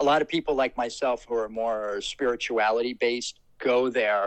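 A man with a New Jersey accent, medium pitch, fairly even intonation and a moderate pace. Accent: New Jersey American. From US Northeast, Trenton, New Jersey. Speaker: paranormal story guest. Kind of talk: personal storytelling.

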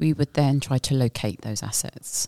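At a moderate pace, a woman talks in a very deep, low voice. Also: dry, close sound with no echo. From UK. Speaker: forensic investigator. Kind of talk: casual interview.

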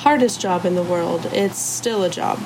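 A woman with an American accent speaks at a fairly slow pace and medium pitch, with audible room echo and noticeable background noise. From Texas, Arlington. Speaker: escape room assistant manager. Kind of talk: interview.

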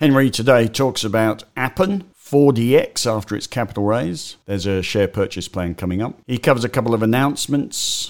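Speaking with an Australian accent, the voice moves at a moderate pace with lively intonation and hardly any pauses. The recording is very clean, with a silent background. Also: man, medium pitch for a man. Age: 60s. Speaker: stock market commentator. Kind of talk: solo market update podcast.

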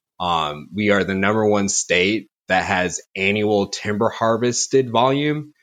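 A man talks in an ordinary speaking voice at a fairly slow pace. He takes hardly any pauses. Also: fairly low pitch for a man, ordinary pitch variation. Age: 20s. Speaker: timber procurement forester. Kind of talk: interview. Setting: remote call.

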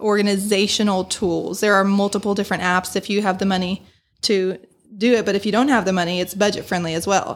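This woman has an unremarkable speaking voice, medium in pitch, with an American accent and fairly even intonation. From South Bend, Indiana, US Midwest. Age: 30s. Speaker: church music assistant and teacher. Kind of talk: casual chat. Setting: studio.

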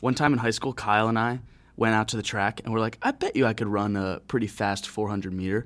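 On a very clean recording with a silent background, a man speaks very fast at a medium pitch and with fairly even intonation. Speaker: podcast co-host. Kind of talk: casual chat.

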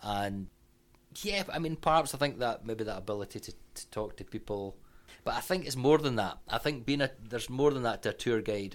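A man with a Scottish accent, medium pitch, lively intonation and a fairly quick pace, big swings in loudness, on a very clean recording with a silent background. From Scotland. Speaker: tour guide. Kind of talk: casual chat.

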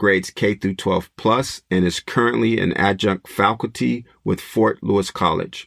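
Man with fairly low pitch and vocal fry, ordinary pitch variation and moderate pace, in a dry, close sound with no echo on a very clean recording with a silent background. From Los Angeles. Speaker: podcast host. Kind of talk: casual interview podcast; monologue commentary.

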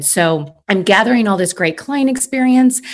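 Using an ordinary speaking voice with ordinary pitch variation, a woman speaks at a fairly quick pace. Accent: American. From US Midwest. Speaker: former customer success executive. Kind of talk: casual interview conversation.

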